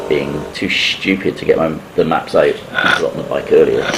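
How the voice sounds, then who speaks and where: A man with a British accent amid noticeable background noise. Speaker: motorcycle vlogger. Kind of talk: voiceover narration of a ride vlog.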